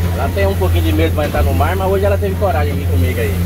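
Loud background noise runs behind a man talking at a very fast pace. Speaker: fishing vlogger. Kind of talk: casual vlog chat. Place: boat. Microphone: phone near.

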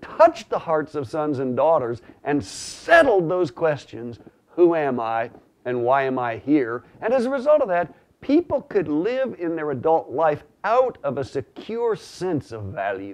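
A man's fairly slow speech with very wide pitch swings. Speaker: religious teacher. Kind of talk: teaching talk to camera. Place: home room. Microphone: lapel.

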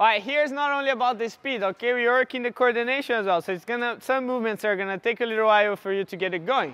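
A man speaks at an extremely high pitch and a very fast pace with hardly any pauses, ordinary pitch variation, and a dry sound with no echo. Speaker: fitness coach. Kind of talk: coaching instruction. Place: hall.

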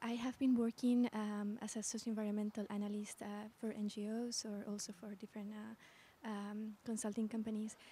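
A woman speaks at a moderate pace in a fairly high pitch with monotone, flat intonation. The sound is dry with no echo. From Bolivia. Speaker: audience member, social environmental analyst. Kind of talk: audience question. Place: hall. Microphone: handheld.

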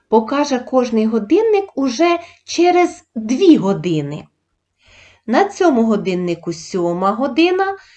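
This woman speaks very slowly in a high pitch, her voice swinging very widely up and down. Her tone is dark and mellow against a quiet background. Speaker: primary school teacher. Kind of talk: tutorial. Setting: video lesson. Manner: formal.

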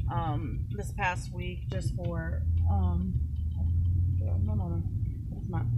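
A woman speaks at a very slow pace against loud background noise. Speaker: vlogger. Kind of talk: casual vlog chat. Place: car. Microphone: phone near.

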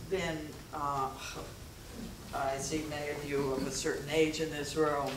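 Audible room echo surrounds a woman speaking at a fairly slow pace in a low pitch.

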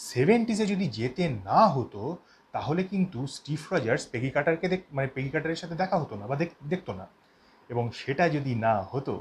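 A man speaks in a somewhat breathy voice. His pitch swings very widely. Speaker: fan channel host. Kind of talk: casual explainer commentary. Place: home room. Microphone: lapel.

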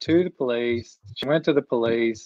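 Over a quiet background, a man with a Texan accent speaks at a moderate pace with ordinary pitch variation, the sound dry with no echo. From Texas. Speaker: couples counselor; talk show guest. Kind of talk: casual discussion. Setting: phone video call. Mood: opinionated, mildly indignant. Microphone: video call.

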